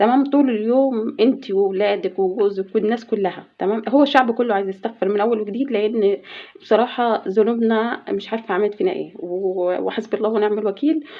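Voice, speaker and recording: Over noticeable background noise, a woman speaks with an Egyptian accent. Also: fairly high pitch for a woman, ordinary pitch variation, moderate pace, hardly any pauses. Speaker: household vlogger. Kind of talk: casual vlog talk. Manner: halting.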